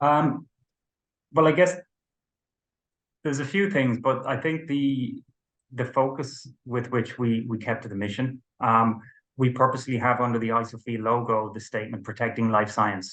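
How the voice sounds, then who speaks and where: A man with an Irish accent at a moderate pace, ordinary pitch variation, and long, frequent pauses. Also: medium pitch for a man. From Ireland. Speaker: company co-founder and managing director. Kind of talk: business interview. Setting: video interview.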